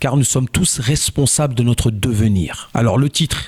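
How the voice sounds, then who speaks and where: Dry and close with no echo, a man's somewhat breathy voice moves at a moderate pace and medium pitch with ordinary pitch variation. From France, Joué-lès-Tours (Indre-et-Loire). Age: 40s. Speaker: local election candidate. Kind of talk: campaign statement interview.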